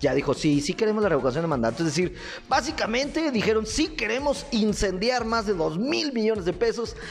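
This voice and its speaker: In a Mexican accent, the speaker talks in an animated tone at a fairly quick pace with music in the background. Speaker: comedic radio news host. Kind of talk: comedic news commentary. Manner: loud.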